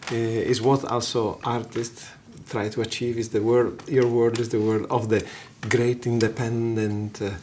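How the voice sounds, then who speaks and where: Monotone, flat intonation with an Italian accent, against noticeable background noise. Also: man, medium pitch for a man, moderate pace. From Italy, Genoa. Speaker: guitarist and songwriter. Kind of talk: casual interview. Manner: halting, many fillers.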